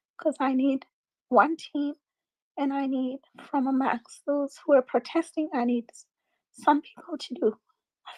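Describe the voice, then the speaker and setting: Quiet and high-pitched, a woman speaks fairly slowly with fairly even intonation, big swings in loudness and long, frequent pauses, the sound dry and close with no echo. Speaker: space host. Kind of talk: live audio space discussion. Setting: online audio space.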